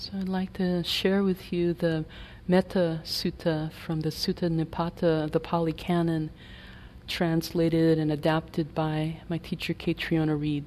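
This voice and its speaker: The voice has a calm, gentle tone and monotone, flat intonation. It moves at a fairly slow pace. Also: woman, fairly low pitch for a woman. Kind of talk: guided meditation. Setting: meditation retreat hall. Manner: slow, soft-spoken, calm and gentle with long pauses between phrases.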